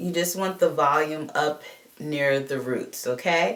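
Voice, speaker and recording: Against noticeable background noise, a woman talks with an American accent. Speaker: beauty vlogger. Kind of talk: tutorial. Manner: casual, animated.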